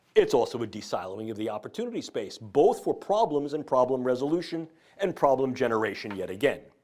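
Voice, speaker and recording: With a New York accent, a man talks at a very fast pace, his fairly high voice swinging very widely in pitch. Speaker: neuroscientist. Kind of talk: lecture. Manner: formal.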